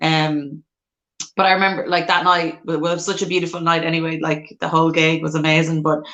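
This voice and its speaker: The speaker has an Irish accent and talks at a fairly quick pace in a monotone, flat intonation. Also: woman. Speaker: singer-songwriter. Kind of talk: casual chat. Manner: loud.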